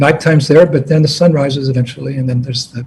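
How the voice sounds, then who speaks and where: With a dark, mellow tone, a somewhat breathy man at medium pitch talks at a fairly quick pace with fairly even intonation. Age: 70s. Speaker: spiritual teacher. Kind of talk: address to disciples.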